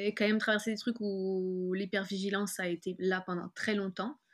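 Speaking at a fairly quick pace, a woman uses a medium pitch and a bright, sharp tone with monotone, flat intonation. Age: 30s. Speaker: author and graphic designer. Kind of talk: personal testimony interview. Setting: video call.

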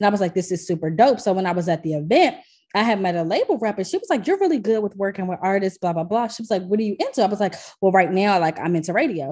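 With an American accent, a woman speaks at a very fast pace in a dark, mellow tone, her medium pitch showing ordinary variation. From Washington DC. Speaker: music streaming programmer. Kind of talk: casual interview.

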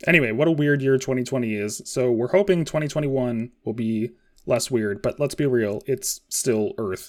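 A man with an unremarkable speaking voice talks at a moderate pace with ordinary pitch variation in a very clean recording with a silent background. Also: medium pitch for a man. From Washington State. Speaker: podcast co-host. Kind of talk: casual chat.

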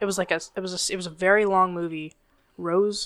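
A woman's bright, sharp voice at medium pitch, fairly quick, with fairly even intonation. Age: 30s. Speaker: podcast co-host. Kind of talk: casual chat.

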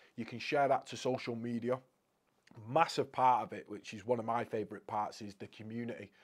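In a northwest English accent, a man talks at a fairly quick pace with medium pitch, fairly even intonation and big swings in loudness. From Crewe, Cheshire, England. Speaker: motivational speaker. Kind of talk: casual interview chat.

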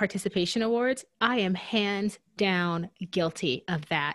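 In an American accent, a woman speaks at a fairly slow pace and a medium pitch with ordinary pitch variation, on a very clean recording with a silent background. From US Deep South. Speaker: podcast co-host. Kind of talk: casual chat.

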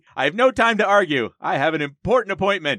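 Talking fairly quickly with an American accent, a man of fairly high pitch has a bright, sharp tone with vocal fry, in a dry, close sound with no echo. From New Jersey, Jersey Shore. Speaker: podcast host discussing comic books. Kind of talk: casual chat.

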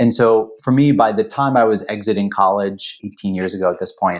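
A man's unremarkable speaking voice moves fairly quickly, with ordinary pitch variation. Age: 40s. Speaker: venture capital investor. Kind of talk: interview.

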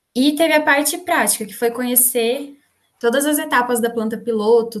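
This woman has a normal speaking voice, fairly high in pitch, delivered at a moderate pace. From Brazil, interior of São Paulo state (Valinhos). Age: 20s. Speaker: engineering student and digital marketer. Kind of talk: casual interview.

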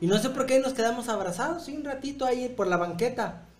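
A man with a Mexican accent is heard with audible room echo. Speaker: podcast host. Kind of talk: casual chat.

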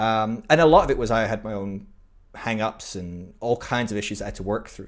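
The speaker has a British accent and a fairly quick pace. The recording is very clean, with a silent background. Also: man. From UK. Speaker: podcast guest. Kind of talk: casual interview chat. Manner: halting, many fillers.

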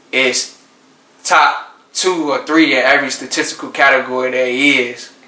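A man with an American accent speaks at a medium pitch, with audible room echo and noticeable background noise. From Norfolk, Virginia. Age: 20s. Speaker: teacher and basketball coach. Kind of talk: casual interview.

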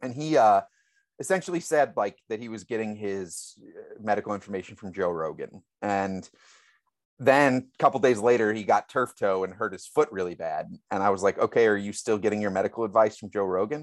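Big swings in loudness mark this fairly low-pitched man's speech, which has ordinary pitch variation in a very clean recording with a silent background. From St. Louis, Missouri, US Midwest. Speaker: author. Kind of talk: casual interview chat.

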